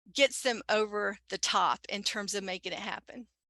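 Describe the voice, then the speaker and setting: A bright, sharp tone in a Southern US accent at a fairly slow pace, with a quiet background and a dry, close sound with no echo. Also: woman. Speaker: commuter program consultant. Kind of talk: webinar panel discussion.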